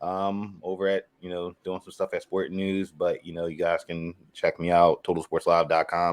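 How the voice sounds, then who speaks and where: A man talks with a strong Philadelphia accent. His pace is moderate. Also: very clean recording, silent background. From Philadelphia, US. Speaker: sports writer and podcaster. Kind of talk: casual sports podcast chat. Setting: podcast recording.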